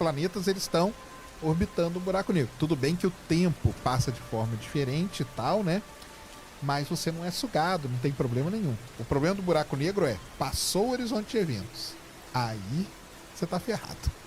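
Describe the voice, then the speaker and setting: A man with a high pitch speaks in a calm tone at a moderate pace, his pitch swinging very widely, with music in the background. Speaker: astronomy communicator. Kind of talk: interview answer.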